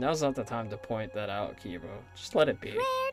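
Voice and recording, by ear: The words are read aloud in a natural voice.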